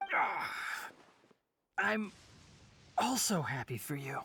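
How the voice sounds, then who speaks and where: A raspy, put-on character voice at a middle pitch. It moves at a fairly slow pace. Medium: video game.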